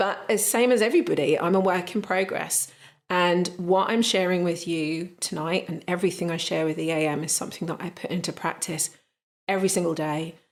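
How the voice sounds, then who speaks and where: In a British accent, a woman speaks at a fairly low pitch. Her pace is fairly quick and her intonation fairly even. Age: 30s. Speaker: energy healing coach. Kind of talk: live online training talk. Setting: live online training session.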